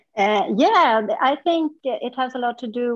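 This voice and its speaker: A woman with a Swedish accent. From central Sweden. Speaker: yoga practitioner. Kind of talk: interview. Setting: remote call from a hotel conference room.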